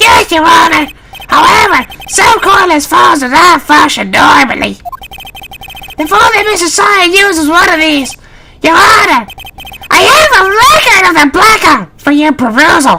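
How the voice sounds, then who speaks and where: A put-on character voice is pitched extremely high. It moves at a moderate pace with long, frequent pauses. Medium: fan dub.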